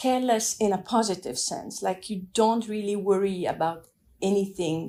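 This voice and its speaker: At a moderate pace, a woman speaks with a dark, mellow tone and ordinary pitch variation. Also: medium pitch for a woman. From Afghanistan and France. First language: French and Dari. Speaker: immigrant sharing her story. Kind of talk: personal testimony. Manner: reflective, with hesitations.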